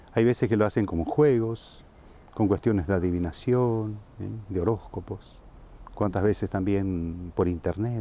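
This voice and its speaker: Dark and mellow in tone, a man's fairly low voice moves at a fairly slow pace with ordinary pitch variation and a dry sound with no echo. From Saladas, Corrientes, Argentina; Corrientes, Argentina. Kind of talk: interview. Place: garden. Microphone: lapel.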